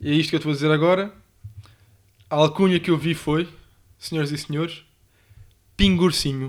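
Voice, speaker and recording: Speaking at a fairly quick pace with a European Portuguese accent, a man sounds animated and leaves long, frequent pauses. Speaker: podcast co-host. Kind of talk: casual chat.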